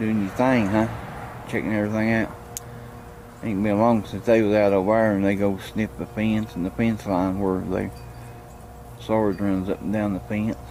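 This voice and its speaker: A man with an American accent speaks at a moderate pace in a fairly low, monotone, flat voice with long, frequent pauses. Noticeable background noise is present. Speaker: vlogger. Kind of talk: casual vlog talk. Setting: indoors then outdoors at mom's house. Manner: quiet, talking low indoors; louder outside.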